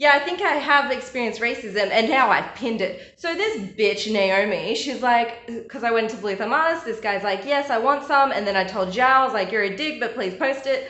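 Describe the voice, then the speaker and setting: With an Australian accent, the speaker moves at a fairly quick pace in an animated tone and lively intonation, amid noticeable background noise and audible room echo. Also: woman, high pitch for a woman. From Australia, Bulgarian migrant family. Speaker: artist vlogger. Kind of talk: casual vlog.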